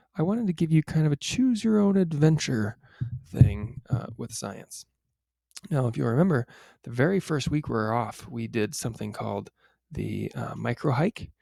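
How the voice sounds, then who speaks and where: Quiet and somewhat breathy, a man speaks at a medium pitch and a moderate pace, with very wide pitch swings and big swings in loudness. The sound is dry and close, with no echo. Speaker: science teacher. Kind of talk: remote class video tutorial. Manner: casual, with fillers.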